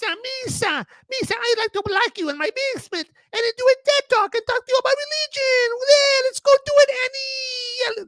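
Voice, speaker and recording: Pitched extremely high, a put-on character voice speaks at a moderate pace. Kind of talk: broken, childlike speech. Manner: goofy, exaggerated.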